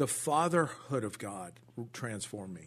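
Against a quiet background, a man with a Southern California accent talks at a moderate pace. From Orange County, California. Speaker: pastor. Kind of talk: testimony. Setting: studio.

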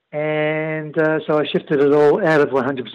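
A man with an Australian accent talks at a very slow pace. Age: 50s. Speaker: emergency services worker. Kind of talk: interview. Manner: halting, many fillers.

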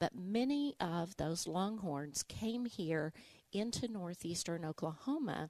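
A woman's medium-pitched, dark and mellow voice in an Arkansas accent, very slow, very even in loudness, with lively intonation. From Arkansas, Little Rock. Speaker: museum director and local historian. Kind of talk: interview, historical explanation.

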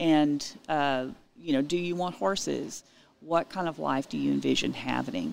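Over a silent background in a very clean recording, a woman with a Texan accent talks at a moderate pace. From Texas Hill Country (Utopia, Texas). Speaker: realtor and homesteading expert. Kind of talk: interview.

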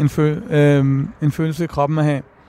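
A dark, mellow tone at a moderate pace. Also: man. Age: 30s. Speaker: rapper and author. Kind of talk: interview. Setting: outdoors on a bench.

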